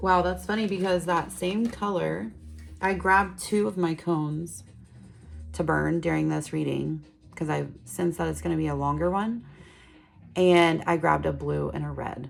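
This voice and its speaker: Soft-spoken and relaxed in tone, a woman talks at a moderate pace over music in the background. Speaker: tarot reader. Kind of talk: tarot reading.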